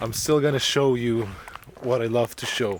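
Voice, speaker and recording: A man with a Spanish accent at a fairly slow pace, against noticeable background noise. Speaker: travel vlogger. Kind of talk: casual vlog talk to camera. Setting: outdoors on a trail. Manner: halting, with fillers and restarts.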